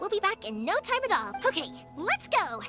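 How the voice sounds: A woman in a put-on character voice, extremely high in pitch with very wide pitch swings, a bright, sharp tone, a moderate pace and faint music in the background.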